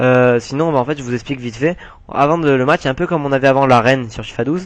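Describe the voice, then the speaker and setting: Pitched fairly high, this man's voice races along very fast. Its pitch variation is ordinary. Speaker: gaming YouTuber. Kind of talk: gameplay commentary. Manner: hesitant, many fillers.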